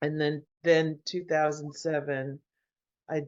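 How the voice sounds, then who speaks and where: This woman's pitch sits very deep and low. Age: 60s. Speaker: visual artist. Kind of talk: casual chat.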